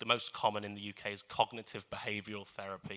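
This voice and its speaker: Bright, sharp tone from a man with a fairly low pitch, on a very clean recording with a silent background. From North London, England. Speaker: media lecturer and author. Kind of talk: public talk with Q&A.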